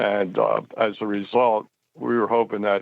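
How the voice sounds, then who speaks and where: Flat and monotone, a man talks in a fairly low pitch. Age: 70s. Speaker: caller. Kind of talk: call-in question. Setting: phone call.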